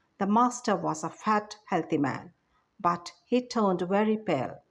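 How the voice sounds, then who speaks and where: Over a silent background in a very clean recording, a woman uses an ordinary speaking voice at medium pitch. She talks at a fairly slow pace with ordinary pitch variation. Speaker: teacher. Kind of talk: expressive story narration.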